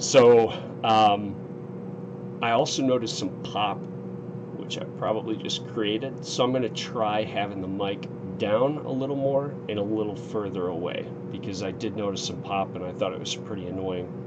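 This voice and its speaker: A man's fairly low voice at a moderate pace, with ordinary pitch variation, audible room echo and noticeable background noise. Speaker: gaming streamer. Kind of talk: let's play live stream commentary. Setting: home streaming setup with headset. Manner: casual, hesitant with fillers.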